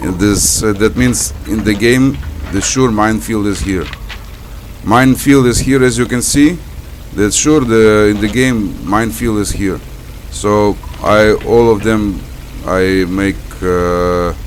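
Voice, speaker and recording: Speaking at a very slow pace with long, frequent pauses, a man with a non-native accent uses a fairly low pitch and ordinary pitch variation, with audible room echo and noticeable background noise. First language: not English. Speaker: gaming video creator. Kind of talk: gameplay commentary. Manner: halting.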